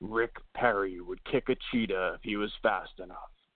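A put-on character voice from a man, fairly low in pitch, at a moderate pace with fairly even intonation. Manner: ominous.

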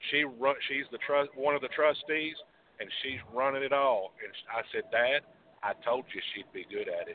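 This man has a normal speaking voice, fairly high in pitch, with fairly even intonation at a moderate pace. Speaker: caller. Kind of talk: phone-in call. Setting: phone call. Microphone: line dropping out.

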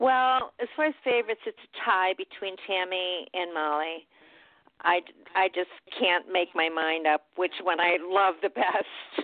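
In a plain, everyday voice, the speaker goes at a fairly slow pace with ordinary pitch variation. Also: woman, medium pitch for a woman. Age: 60s. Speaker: fan guest. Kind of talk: casual interview chat.

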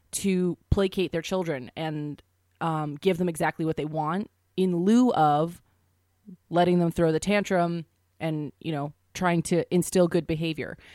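A woman with a plain, everyday voice, fairly low in pitch with ordinary variation, at a moderate pace, the sound dry and close with no echo on a very clean recording with a silent background. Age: 20s. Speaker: podcast co-host. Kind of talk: casual comedic chat.

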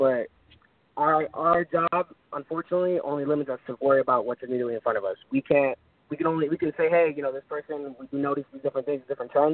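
Talking at a very fast pace, a man with a fairly high pitch keeps his intonation fairly even. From Florida. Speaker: independent musician. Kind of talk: radio interview. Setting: phone call. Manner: melodic.

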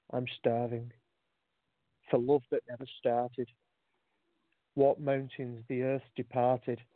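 At a very slow pace with long, frequent pauses, a man with a British accent speaks at a medium pitch in monotone, flat intonation. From UK. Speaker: caller, poet. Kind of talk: spoken word performance. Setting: phone call.

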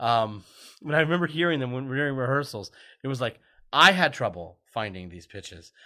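A man with an American accent and medium pitch speaks at a fairly quick pace in an animated, bright, sharp tone with big swings in loudness, on a very clean recording with a silent background. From Florida. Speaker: television writer and producer, former theme park performer. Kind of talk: casual chat.

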